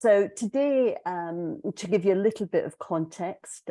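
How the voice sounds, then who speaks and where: A woman's dark, mellow voice moves with lively intonation in a dry, close sound with no echo over a quiet background. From Scotland. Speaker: executive coach. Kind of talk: webinar presentation.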